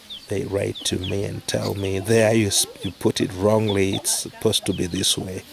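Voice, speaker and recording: Monotone, flat delivery from a man at a fairly low pitch and moderate pace, with noticeable background noise. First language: not English. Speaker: charity worker. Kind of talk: casual talk to camera.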